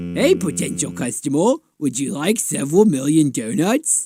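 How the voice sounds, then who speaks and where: With music in the background, a man does a cartoonish character voice at a fairly high pitch, moving at a moderate pace through very wide pitch swings. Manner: goofy, slightly slurred speech.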